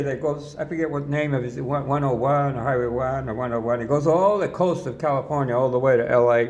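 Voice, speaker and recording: A man's fairly high voice with an American accent, a fairly quick pace, ordinary pitch variation and audible room echo. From New York. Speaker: pastor. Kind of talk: personal testimony. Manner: casual, rambling.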